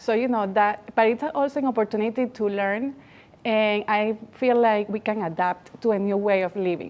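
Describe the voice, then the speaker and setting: A speaker with a Spanish accent talks at a moderate pace. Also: woman, fairly high pitch for a woman, fairly even intonation. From Latin America. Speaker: magazine founder and awards organizer. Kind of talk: TV interview.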